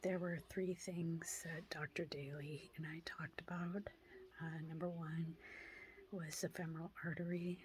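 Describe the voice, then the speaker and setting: A quiet, somewhat breathy voice at a fairly slow pace, with monotone, flat intonation. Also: woman. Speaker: vlogger sharing health update. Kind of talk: personal vlog update. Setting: at home. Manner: quiet, hushed; halting, many fillers.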